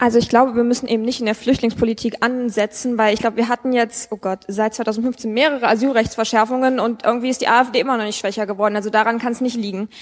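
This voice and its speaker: Talking at a very fast pace with hardly any pauses, a woman keeps a monotone, flat intonation at a fairly high pitch. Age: 20s. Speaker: young state politician. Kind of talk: live panel discussion. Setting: stage with audience.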